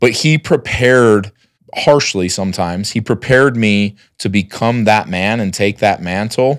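Over a quiet background, a man with a fairly low pitch speaks at a moderate pace with ordinary pitch variation. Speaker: entrepreneur; podcast guest. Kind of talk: casual interview. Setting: at home. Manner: loud. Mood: earnest, reflective. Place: studio. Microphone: studio mic.

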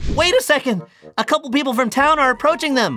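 A cartoonish character voice at a very fast pace, with faint music in the background. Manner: anxious, whiny.

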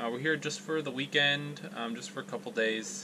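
The man speaks at a moderate pace. Noticeable background noise sits behind him. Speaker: RV traveler vlogger. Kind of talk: casual vlog chat, tutorial. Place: bathroom. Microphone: phone near.

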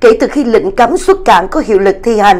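Here a woman is speaking. Her pitch swings very widely. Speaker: news anchor. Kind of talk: news reading. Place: studio.

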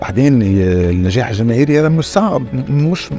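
A man's lively intonation in a dry sound with no echo, faint music in the background. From Tunisia. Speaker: actor, writer and director. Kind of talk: interview answer. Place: studio. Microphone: lapel.

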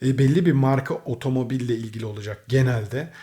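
Dark and mellow in tone, the somewhat breathy voice sits in a very clean recording with a silent background. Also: man. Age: 30s. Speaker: gaming and car YouTuber. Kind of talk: casual vlog address to viewers. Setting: indoors at home.

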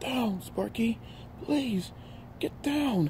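Putting on a croaky character voice at an extremely high pitch, a man speaks over clear background noise. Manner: pleading.

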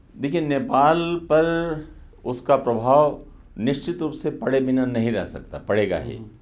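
Speaking at a very slow pace, a man uses ordinary pitch variation. Long pauses come often. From northern India. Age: 70s. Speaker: journalist and author; journalist. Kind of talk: interview. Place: studio. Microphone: lapel.

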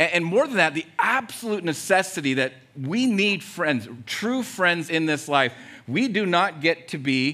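A man speaks at a moderate pace with a bright, sharp tone. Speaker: pastor preaching. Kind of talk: sermon. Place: church. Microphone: headset.

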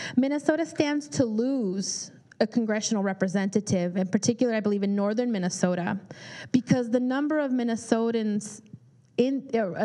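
Against a quiet background, a woman with an American accent talks at a fairly quick pace in a fairly high, dark, mellow voice with ordinary pitch variation. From California, Bay Area; California. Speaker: immigration attorney; speaker. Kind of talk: public talk with Q&A. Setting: community forum with audience. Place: meeting room. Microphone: handheld.

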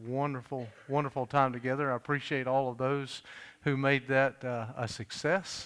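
A man is speaking at a medium pace. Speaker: pastor making announcements. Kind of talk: church announcements. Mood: warm, joking. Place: church. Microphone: podium.

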